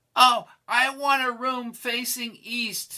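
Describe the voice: This put-on character voice is shrill and fairly high, moving at a fairly slow pace with monotone, flat intonation.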